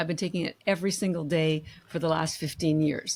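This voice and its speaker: The woman's pitch is very deep and low. She speaks at a fairly quick pace. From Canada. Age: 60s. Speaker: company founder. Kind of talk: interview. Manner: animated.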